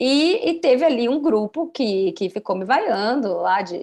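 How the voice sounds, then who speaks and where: Against a quiet background, a woman talks in an animated tone. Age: 30s. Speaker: journalist. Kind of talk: podcast interview.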